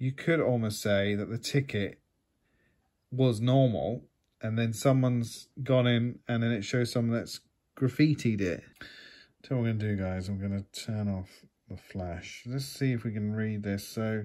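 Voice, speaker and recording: Over a quiet background, a man speaks at a moderate pace. His tone is dark and mellow, his intonation fairly even. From UK. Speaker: YouTube collectibles unboxer. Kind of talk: casual unboxing talk to camera. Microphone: phone near.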